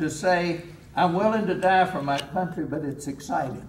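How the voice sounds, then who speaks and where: Lively intonation marks this man's high-pitched voice with a Kentucky accent, set against noticeable background noise. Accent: Southern US (Kentucky). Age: 80s+. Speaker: war veteran. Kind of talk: speech to a veterans' group. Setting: live hall talk, poor audio.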